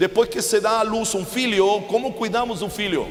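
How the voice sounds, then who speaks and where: High-pitched male voice with a Chilean accent, set against noticeable background noise. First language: Spanish (speaking Portuguese). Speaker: preacher. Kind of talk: sermon.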